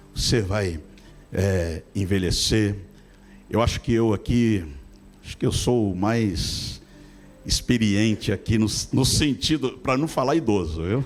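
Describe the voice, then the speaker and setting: A man's fairly low voice at a very slow pace, with long, frequent pauses, ordinary pitch variation and music in the background. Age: 60s. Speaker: pastor. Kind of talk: sermon.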